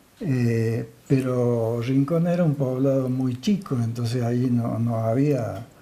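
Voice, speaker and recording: A man's dark, mellow, medium-pitched voice with ordinary pitch variation, very slow in pace yet with hardly any pauses. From Argentina, Villa del Rosario. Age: 70s. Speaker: local resident interviewee. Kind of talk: interview. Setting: TV program.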